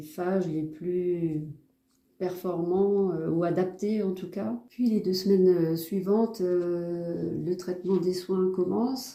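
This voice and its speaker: A woman speaks with a fairly low pitch and fairly even intonation. Audible room echo surrounds her voice. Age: 60s. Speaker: patient. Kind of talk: testimony. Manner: hesitant, many filler sounds.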